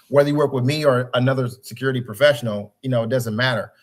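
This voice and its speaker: The pitch variation is ordinary in what is an unremarkable speaking voice. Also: man. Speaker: cybersecurity consultant. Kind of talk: webinar presentation.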